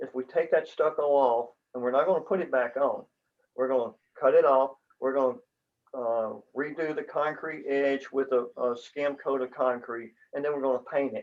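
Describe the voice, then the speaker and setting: A man speaks with a fairly high pitch and fairly even intonation at a moderate pace. He has an ordinary speaking voice. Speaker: condo board member. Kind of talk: business meeting.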